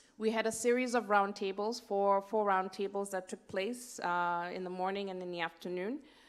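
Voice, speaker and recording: A woman of medium pitch talks with fairly even intonation and hardly any pauses. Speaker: session rapporteur. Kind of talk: conference report summary. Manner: fast.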